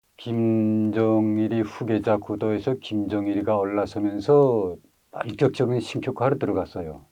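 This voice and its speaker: At a fairly slow pace, a man talks with a fairly low pitch and fairly even intonation. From North Korea, Ryanggang Province. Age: 60s. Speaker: North Korean defector, witness. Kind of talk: testimony interview. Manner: hesitant, many filler sounds.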